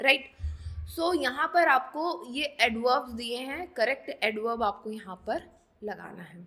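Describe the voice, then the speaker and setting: A woman projects a raised, high-pitched voice with a bright, sharp tone. Her loudness swings widely while her pitch variation stays ordinary. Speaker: online exam coaching teacher. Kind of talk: tutorial. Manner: code-switching Hindi and English.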